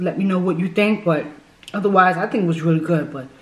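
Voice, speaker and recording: A woman's voice with ordinary pitch variation, light background noise and audible room echo. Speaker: food vlogger. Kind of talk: casual vlog chat. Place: home room. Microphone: phone near.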